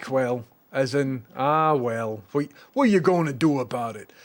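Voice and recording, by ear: A man with a Scottish accent, fairly high in pitch with ordinary variation, at a very slow pace.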